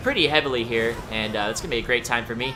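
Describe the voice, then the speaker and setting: Over background music, a man talks very fast at medium pitch with ordinary pitch variation. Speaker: video game commentator. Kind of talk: gameplay commentary. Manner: casual, conversational.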